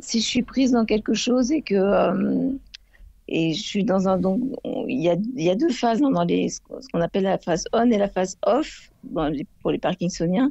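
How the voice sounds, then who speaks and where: A woman speaks at a moderate pace in a medium pitch, with vocal fry running through her voice. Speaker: caller living with Parkinson's disease. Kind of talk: radio call-in testimony. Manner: halting, many hesitations.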